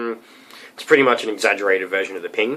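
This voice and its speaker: A man with an Australian accent. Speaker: metal vocalist. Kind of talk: tutorial. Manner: casual, hesitant with many ums.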